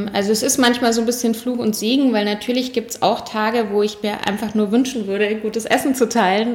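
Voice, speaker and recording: Noticeable background noise sits behind a woman's fairly high voice. She speaks at a fairly quick pace with fairly even intonation. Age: 40s. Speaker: cook and cookbook author. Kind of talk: interview.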